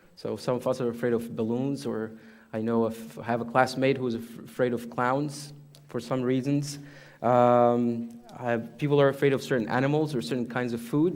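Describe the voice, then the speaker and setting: A man talks at a moderate pace with medium pitch and fairly even intonation. Audible room echo surrounds his voice. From Egypt. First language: Arabic. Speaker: imam. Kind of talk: sermon. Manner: halting.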